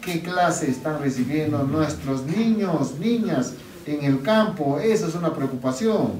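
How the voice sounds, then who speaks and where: A man speaks at a very slow pace in a fairly high voice with lively intonation. The room echo is audible, along with light background noise. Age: 50s. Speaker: regional governor. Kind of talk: public speech. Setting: health centre event. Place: hall. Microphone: camera far.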